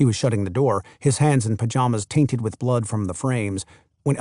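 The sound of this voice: Against a quiet background, an unforced reading voice carries ordinary pitch variation.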